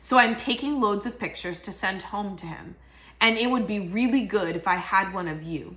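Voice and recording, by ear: This clip is reading aloud in a natural voice.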